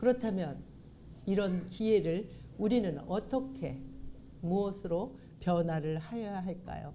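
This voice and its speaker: Audible room echo surrounds a voice that moves at a very slow pace. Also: woman. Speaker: pastor. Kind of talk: sermon. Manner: formal.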